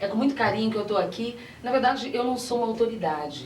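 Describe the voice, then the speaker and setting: A woman with a Rio de Janeiro accent, fairly high-pitched, at a fairly quick pace with ordinary pitch variation, amid noticeable background noise and audible room echo. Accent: Rio de Janeiro (carioca). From Brazil, Minas Gerais. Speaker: pastor. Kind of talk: TV interview. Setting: TV studio, live broadcast.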